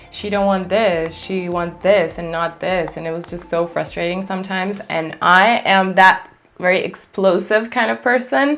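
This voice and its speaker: A woman with a non-native accent speaks at medium pitch and a moderate pace with ordinary pitch variation. She has hardly any pauses, and there is noticeable background noise. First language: not English. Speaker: beauty influencer and makeup artist. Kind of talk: chit-chat makeup tutorial. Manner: casual, conversational.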